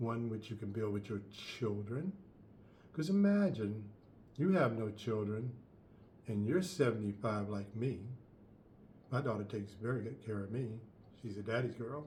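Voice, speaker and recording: A man's dark, mellow, somewhat breathy voice at a moderate pace, with ordinary pitch variation, long, frequent pauses, and audible room echo. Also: medium pitch for a man. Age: 70s. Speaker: life coach. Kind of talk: advice monologue.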